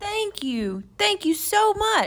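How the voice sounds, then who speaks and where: A woman puts on a squeaky character voice with a warm, enthusiastic tone. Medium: read story.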